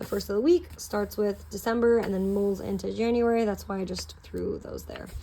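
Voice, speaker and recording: A woman is speaking. There is noticeable noise in the background. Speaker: planner hobbyist vlogger. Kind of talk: casual tutorial. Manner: fast; casual, filler-heavy.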